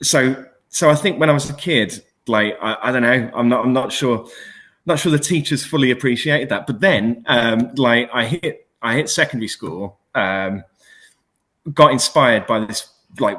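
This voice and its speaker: Bright, sharp tone at a moderate pace, with ordinary pitch variation. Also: man, medium pitch for a man. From West Midlands, England (Dudley). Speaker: museum and heritage leader. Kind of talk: interview. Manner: hesitant, many fillers.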